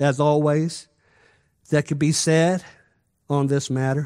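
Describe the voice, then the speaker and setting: On a very clean recording with a silent background, a man speaks very slowly at a fairly high pitch. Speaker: preacher. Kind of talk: sermon. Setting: church. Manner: animated; exhorting the congregation.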